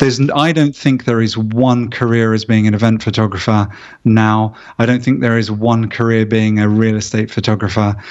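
A man with a normal speaking voice at medium pitch, fairly even intonation, very even loudness and a moderate pace. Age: 50s. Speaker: real estate photographer. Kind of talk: interview.

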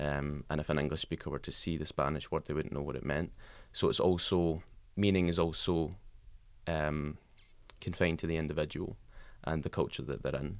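A man with a very deep, low pitch talks with vocal fry and long, frequent pauses. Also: fairly even intonation, fairly quick pace. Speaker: linguistics student. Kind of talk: casual chat. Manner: many filler ums.

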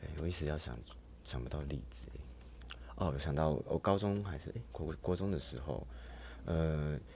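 Very deep, low-pitched male voice with a dark, mellow tone, vocal fry, lively intonation and long, frequent pauses. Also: moderate pace. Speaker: emergency room nurse and go-go dancer. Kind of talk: casual interview.

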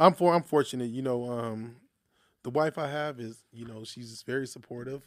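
The recording is very clean with a silent background as a man in a plain, everyday voice speaks at medium pitch and moderate pace with ordinary pitch variation. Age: young. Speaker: social services business owner. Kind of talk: interview. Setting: studio.

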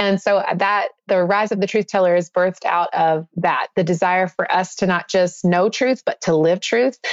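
A woman with an American accent speaks at a medium pitch. The sound is dry and close with no echo, though there is noticeable background noise. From US South. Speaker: author and minister. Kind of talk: casual interview chat.

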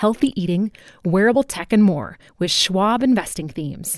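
A woman's ordinary speaking voice with lively intonation, dry and close with no echo, on a very clean recording with a silent background. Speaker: ad and promo announcer. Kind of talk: ad read.

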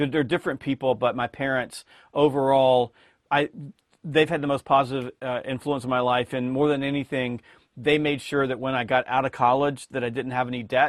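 Speaking at a fairly quick pace with an American accent, a man keeps a monotone, flat intonation. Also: medium pitch for a man. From US South, rural Georgia. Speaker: sales trainer and author. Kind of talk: interview.

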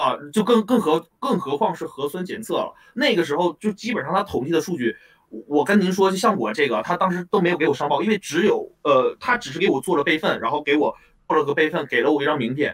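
A man's high-pitched voice at a very fast pace. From Northeast China (Anshan, Liaoning). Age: 20s. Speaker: student in Japan who had COVID. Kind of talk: call-in interview. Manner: halting, with stutters and repetitions.

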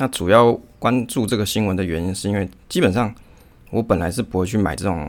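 With a Taiwanese accent, a man talks at a fairly quick pace. His pitch is very deep and low. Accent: Taiwanese Mandarin. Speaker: podcast host on investing. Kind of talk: casual solo podcast talk.

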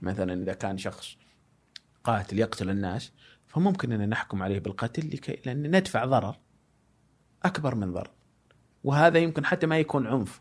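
With very wide pitch swings, a man at medium pitch speaks at a moderate pace, leaving long, frequent pauses. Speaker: guest speaking on philosophy and faith. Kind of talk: long-form interview. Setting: studio, no headphones. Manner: loud.

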